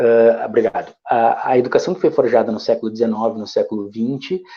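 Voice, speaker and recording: The voice belongs to a man. His delivery moves along fairly quickly. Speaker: educator. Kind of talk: lecture. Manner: fast.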